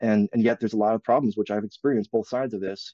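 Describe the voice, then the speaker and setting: In a dry, close recording with no echo and a quiet background, a man speaks at a fairly low pitch with fairly even intonation and a dark, mellow tone. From US Midwest, Wisconsin. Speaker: expat interviewee. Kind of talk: interview. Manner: halting, repeats words.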